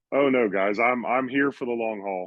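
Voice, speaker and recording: Fairly even intonation runs through this clip, delivered at a fairly quick pace. It is an ordinary speaking voice. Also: man. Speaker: podcast guest, NFT collector. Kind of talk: casual chat.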